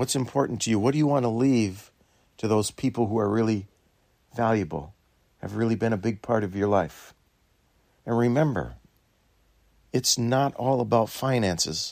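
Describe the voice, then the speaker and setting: With a plain, everyday voice, a man talks at a medium pitch and a moderate pace, using ordinary pitch variation. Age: 60s. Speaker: dairy farmer. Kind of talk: reflective talk.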